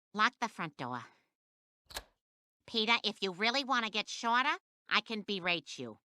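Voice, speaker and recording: A female-sounding, cartoonish character voice speaks with a fairly high pitch at a moderate pace. Long pauses come often. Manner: crisp and cutting.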